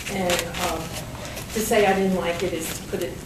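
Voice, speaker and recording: A woman's medium-pitched voice with a New York accent, fairly even intonation and a moderate pace, amid audible room echo and noticeable background noise. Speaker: real estate attorney. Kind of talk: panel talk.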